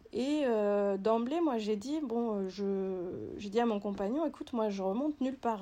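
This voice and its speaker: Very slowly, a woman speaks in a dark, mellow tone with ordinary pitch variation. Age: 30s. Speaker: physiotherapist. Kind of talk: testimony. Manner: halting.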